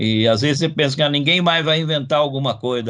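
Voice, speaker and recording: Very fast, a man speaks with fairly even intonation. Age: 60s. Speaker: comics researcher, professor. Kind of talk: interview. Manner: halting, many repetitions and fillers.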